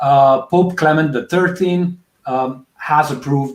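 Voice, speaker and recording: At a fairly slow pace, a man speaks with a non-native accent. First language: Italian. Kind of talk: game introduction. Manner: halting, many fillers.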